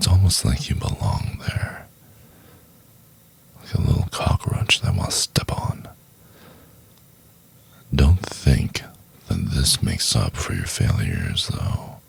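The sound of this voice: A man uses a put-on character voice, extremely low in pitch, with a husky, rough edge, vocal fry, and big pitch swings. He speaks at a slow pace with long, frequent pauses.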